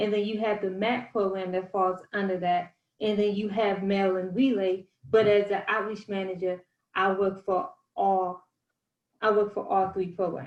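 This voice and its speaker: Her voice is an unremarkable speaking voice, as a woman at medium pitch talks at a moderate pace with fairly even intonation. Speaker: outreach manager presenting a state program. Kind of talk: presentation.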